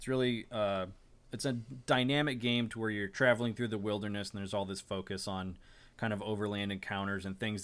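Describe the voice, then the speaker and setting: Recorded very cleanly against a silent background, a man with an unremarkable speaking voice talks fairly quickly at a fairly low pitch, his intonation fairly even. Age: 30s. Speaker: tabletop game developer and podcast host. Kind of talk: casual chat.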